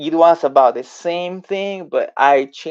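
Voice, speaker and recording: This man has a Spanish accent. His voice sits at a fairly high pitch. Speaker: language tutor. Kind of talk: tutorial; storytelling language lesson. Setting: live video stream.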